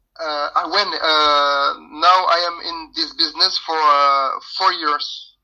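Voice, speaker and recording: A man with a French accent speaks very slowly in a bright, sharp tone. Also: fairly high pitch for a man. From France. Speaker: rapper. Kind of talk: radio interview. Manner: halting.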